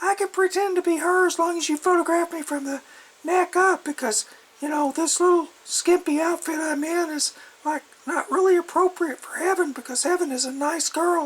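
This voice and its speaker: A woman uses a put-on character voice that is squeaky and extremely high. She talks at a moderate pace. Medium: solo performance. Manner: cynical, sly.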